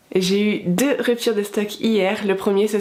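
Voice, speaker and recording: Spoken at a fairly slow pace, the clip has noticeable background noise. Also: woman. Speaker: vlogger and stationery stall seller. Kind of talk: vlog.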